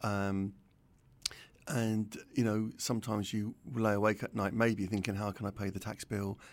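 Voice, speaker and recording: A man with a London accent, fairly low pitch and monotone, flat intonation. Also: moderate pace. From North London. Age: 60s. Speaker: retired pharmacist and entrepreneur. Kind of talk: interview.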